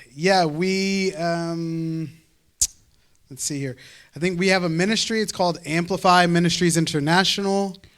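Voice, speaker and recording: With an American accent, a man with a high pitch speaks at a very slow pace, his intonation fairly even and broken by long, frequent pauses, amid audible room echo. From United States. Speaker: preacher. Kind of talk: sermon introduction with interpreter. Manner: hesitant, many fillers.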